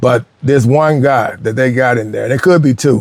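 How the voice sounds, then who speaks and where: Here a man speaks in an ordinary speaking voice at a medium pitch. His pace is fairly quick. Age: 60s. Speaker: poker vlogger. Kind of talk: casual monologue.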